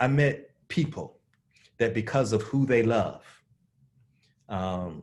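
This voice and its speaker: Recorded very cleanly over a silent background, a man with a Southern US accent speaks with ordinary pitch variation. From US South. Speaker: divinity school dean and social ethicist. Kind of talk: conversational interview. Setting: virtual video conversation. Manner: animated.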